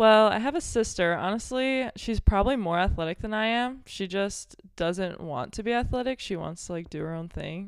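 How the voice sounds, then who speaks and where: Speaking at a moderate pace with an American accent, a woman uses an ordinary speaking voice of medium pitch with lively intonation. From Belleville, Illinois, near St. Louis. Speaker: college volleyball player. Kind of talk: casual chat.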